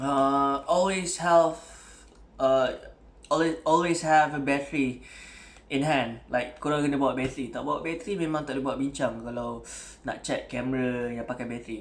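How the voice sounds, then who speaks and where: There is audible room echo around a man speaking at a fairly high pitch. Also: ordinary pitch variation, fairly quick pace. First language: Malay. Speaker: camera hobbyist YouTuber. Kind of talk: tutorial. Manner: casual, code-switching English and Malay; hesitant, many fillers.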